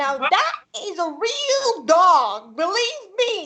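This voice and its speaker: A female-sounding put-on character voice, extremely high in pitch with very wide pitch swings, at a very slow pace. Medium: stage play. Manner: insistent, commanding.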